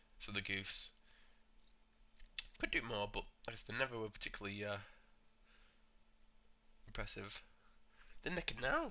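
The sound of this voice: Someone uses a put-on character voice that is raspy and hoarse, at a moderate pace. The speech has long, frequent pauses. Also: man, medium pitch for a man.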